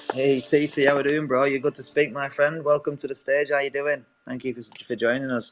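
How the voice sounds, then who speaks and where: A man with an English accent, fairly high pitch, flat monotone intonation and a fairly quick pace. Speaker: audio room host. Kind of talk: casual chat.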